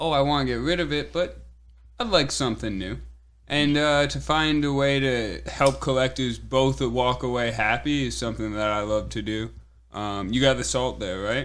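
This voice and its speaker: A man with an American accent at a moderate pace, with audible room echo. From New England (Connecticut). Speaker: swap meet organizer. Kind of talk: casual podcast chat. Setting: podcast studio.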